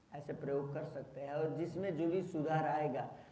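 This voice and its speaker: A man talks with a fairly high pitch in a monotone, flat intonation. Audible room echo surrounds his voice. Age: 60s. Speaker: yoga teacher. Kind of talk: talk to workshop participants.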